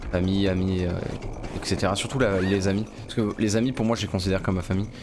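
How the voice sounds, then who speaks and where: A man talks very fast in a flat monotone at a fairly low pitch. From southwest France. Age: 20s. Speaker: gaming YouTuber. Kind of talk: casual let's play commentary.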